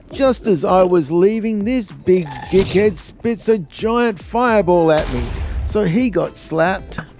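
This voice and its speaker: Over music in the background, a man with a high pitch and ordinary pitch variation speaks at a fairly slow pace. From Australia. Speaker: gaming youtuber. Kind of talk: gameplay tutorial narration. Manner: casual, jokey.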